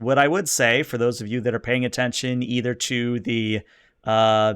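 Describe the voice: The speaker gives a plain reading aloud, keeping the intonation fairly even.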